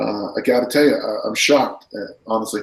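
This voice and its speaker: A man speaks at a moderate pace. He has an American accent. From California. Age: 60s. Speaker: strength coach and former discus thrower. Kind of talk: casual interview. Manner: animated.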